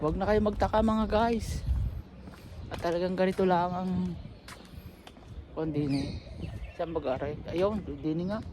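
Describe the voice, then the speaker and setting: Over noticeable background noise, the speech moves at a fairly slow pace with long, frequent pauses. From Philippines, Batangas. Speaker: vlogger. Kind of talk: casual vlog talk. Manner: halting.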